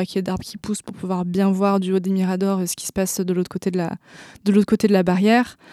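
Very fast, monotone and flat speech in a dark, mellow tone, dry and close with no echo, on a very clean recording with a silent background. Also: woman. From France. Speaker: activist. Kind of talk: interview. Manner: halting, many hesitations.

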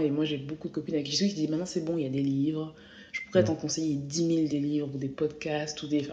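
A woman's very deep, low voice at a very fast pace, fairly even intonation, noticeable background noise. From France. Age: 20s. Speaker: journalist. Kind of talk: interview.

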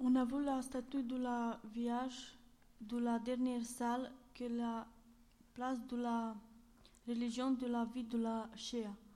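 The speech is very slow, broken by long, frequent pauses, with audible room echo. The tone is dark and mellow, and the intonation stays monotone and flat. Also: woman, high pitch for a woman. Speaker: civic service volunteer. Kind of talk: reading aloud and interview. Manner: halting.

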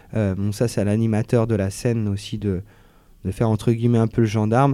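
A man's dark, mellow voice at medium pitch and moderate pace, with monotone, flat intonation. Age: 30s. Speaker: slam poet. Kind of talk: interview. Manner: casual.

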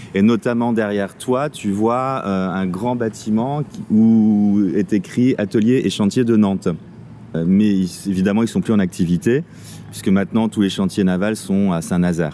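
A man speaks at a fairly slow pace in a fairly low pitch. His tone is dark and mellow, with ordinary pitch variation. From Paris region, France. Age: 40s. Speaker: local guide. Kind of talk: casual chat.

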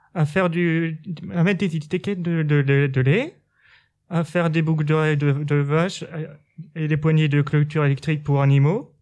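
A man with a fairly high voice speaks with long, frequent pauses. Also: fairly even intonation. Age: 20s. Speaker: sheltered workshop worker. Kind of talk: interview. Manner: halting.

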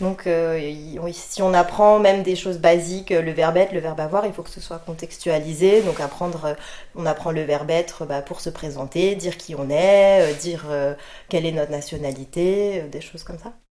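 Loudness swings widely in a plain, everyday voice. The pace is moderate and the intonation fairly even. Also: woman, fairly low pitch for a woman. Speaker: French language teaching coordinator. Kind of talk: interview.

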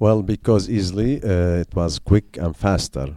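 In an Arabic accent, a man speaks with a dark, mellow tone. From Syria. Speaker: journalist. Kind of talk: interview. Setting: school visit. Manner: halting.

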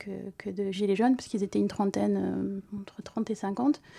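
At a moderate pace, a woman speaks in a dark, mellow tone at medium pitch, her intonation monotone and flat. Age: 40s. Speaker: civil servant, protest activist. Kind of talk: testimony on community radio. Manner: halting.

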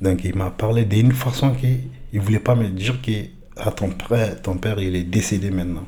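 Somewhat breathy, a man speaks in a fairly low pitch with a dark, mellow tone and ordinary pitch variation. His moderate pace carries audible room echo. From Mali. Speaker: French language learner. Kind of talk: personal testimony.

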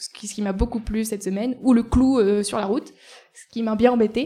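Speaking at a moderate pace, a woman has a dark, mellow tone and fairly even intonation. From Ardèche, France. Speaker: cycling traveller documenting community spaces. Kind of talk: live interview. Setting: café, live before an audience.

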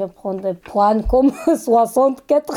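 A woman at a very slow pace. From Turkey (Kurdish), Istanbul. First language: Kurdish or Turkish (speaking French). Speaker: migrant woman, French learner. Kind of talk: interview. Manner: halting, broken French.

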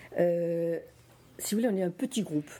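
A woman speaks at a very slow pace, her fairly low voice dark and mellow in tone. Her pitch varies in an ordinary way. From France, Nice area. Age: 70s. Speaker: association president. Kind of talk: talk to school students. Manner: halting.

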